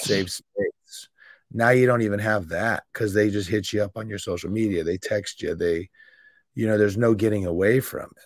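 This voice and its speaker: A plain, everyday voice from a man, fairly low in pitch, with fairly even intonation, big swings in loudness and a moderate pace, on a very clean recording with a silent background. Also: dry, close sound with no echo. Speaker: podcast host. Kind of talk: podcast interview, casual talk.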